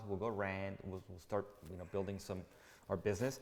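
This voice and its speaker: Speaking with a Spanish accent, a man has a fairly low pitch and an energetic tone. He moves at a fairly quick pace. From Mexico. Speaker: real estate agent. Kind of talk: interview answer. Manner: casual, energetic.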